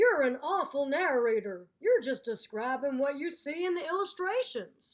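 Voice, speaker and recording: A woman puts on a character voice, high in pitch and swinging very widely up and down. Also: moderate pace. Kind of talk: children's story read-aloud. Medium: read story. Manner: irritated, indignant.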